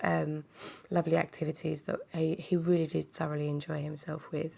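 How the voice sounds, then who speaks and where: The voice is a woman's. She speaks in a British accent. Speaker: craft kit seller and vlogger. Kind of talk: product unboxing video. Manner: hesitant, many fillers.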